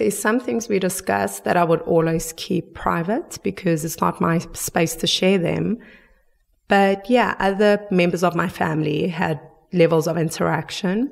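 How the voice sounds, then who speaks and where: Vocal fry marks this woman's voice, with ordinary pitch variation. She speaks at a fairly slow pace. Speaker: forgiveness advocate. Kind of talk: interview answer.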